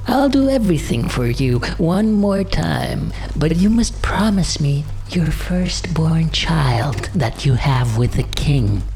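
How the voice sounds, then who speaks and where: Using a put-on character voice, a man speaks at a fairly slow pace over clear background noise. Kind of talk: bedtime story. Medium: read story. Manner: screeching.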